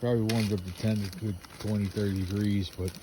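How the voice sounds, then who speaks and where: In a somewhat breathy, fairly low voice with a dark, mellow tone, a man speaks at a moderate pace. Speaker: camping vlogger. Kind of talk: casual vlog narration. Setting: outdoors, camping in a tent. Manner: hesitant with many fillers.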